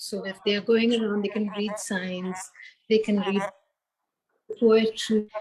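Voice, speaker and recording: This woman talks fairly slowly at a medium pitch, leaving long, frequent pauses. Her intonation is flat and monotone. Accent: Tamil. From India, Hyderabad. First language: Tamil. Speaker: founder of a community space. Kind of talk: interview. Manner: calm.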